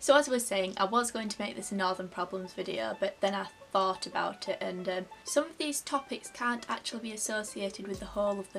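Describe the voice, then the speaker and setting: In a Yorkshire accent, a woman talks at a fairly quick pace with ordinary pitch variation while faint music plays in the background. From Yorkshire, England. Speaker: vlogger. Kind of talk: casual talk to camera. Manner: chatty, humorous. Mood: playful, humorous storytelling. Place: home room. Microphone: phone near.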